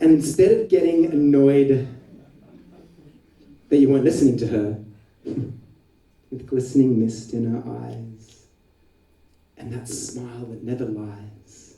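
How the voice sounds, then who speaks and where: Dark, mellow tone at a fairly slow pace, somewhat breathy, with long, frequent pauses, big swings in loudness and ordinary pitch variation. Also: man, medium pitch for a man. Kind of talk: slam poetry performance.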